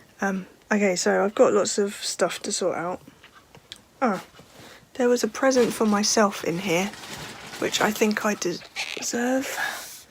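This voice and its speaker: Amid noticeable background noise, a woman speaks fairly slowly at a medium pitch with ordinary pitch variation and long, frequent pauses. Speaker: vlogger. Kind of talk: casual vlog to camera. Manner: hesitant, with fillers.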